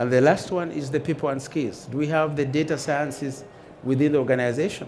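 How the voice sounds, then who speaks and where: A man with an African accent talks at a fairly quick pace and fairly high pitch. Audible room echo surrounds his voice. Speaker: conference speaker, airline data manager. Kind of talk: conference talk. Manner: halting.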